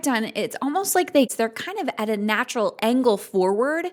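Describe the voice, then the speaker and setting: At a moderate pace, a normal speaking voice carries lively intonation on a very clean recording with a silent background. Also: woman. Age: 30s. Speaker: podcast host. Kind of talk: podcast interview.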